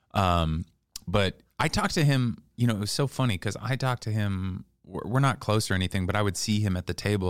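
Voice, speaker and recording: Over a very clean recording with a silent background, a man with an American accent and a normal speaking voice talks at a fairly quick pace and fairly low pitch, with ordinary pitch variation. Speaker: comedian. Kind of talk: casual chat.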